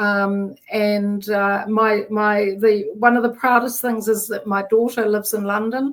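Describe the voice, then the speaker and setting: A woman talks with a New Zealand accent and hardly any pauses. Her intonation stays flat and monotone. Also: fairly high pitch for a woman. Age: 60s. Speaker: menopause coach. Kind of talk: interview. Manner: halting.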